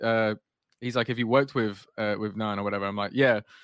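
A man with a northern English accent speaks with fairly even intonation. The recording is very clean, with a silent background and a dry, close sound with no echo. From northwest England. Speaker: podcast host and designer. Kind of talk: casual interview chat.

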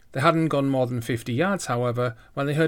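A natural reading voice. Pitch variation is ordinary.

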